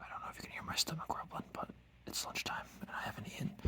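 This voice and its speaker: A man is whispering at a fairly quick pace. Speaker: woodworking hobbyist vlogger. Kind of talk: casual tutorial narration while working. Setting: garage workshop.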